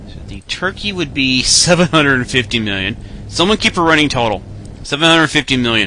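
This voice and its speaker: A man with a medium pitch speaks at a fairly slow pace in a relaxed tone. His pitch swings very widely, and background noise is noticeable. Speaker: radio host. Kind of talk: casual radio DJ patter, rambling and conversational. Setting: internet radio show, live broadcast. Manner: relaxed, chatty, rambling with filler words and self-deprecating asides; plain-spoken, informal, mild cursing, answers fan questions.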